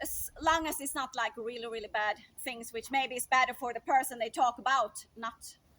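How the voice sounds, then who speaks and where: A woman with a Swedish accent, high-pitched, bright and sharp in tone, with lively intonation at a fairly quick pace. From Sweden. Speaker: speaker sharing opinions. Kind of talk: improvised monologue. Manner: conversational with fillers.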